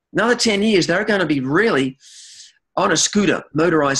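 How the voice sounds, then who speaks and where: Against a quiet background, a man with an Australian accent talks with ordinary pitch variation. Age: 60s. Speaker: chiropractor. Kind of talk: interview. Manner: halting, many repeated words.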